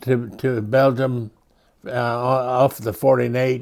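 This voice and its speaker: In a Midwestern accent, a man speaks at a medium pitch with monotone, flat intonation. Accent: American Midwestern. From rural Illinois and Colorado, USA. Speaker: World War II veteran. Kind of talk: interview answer.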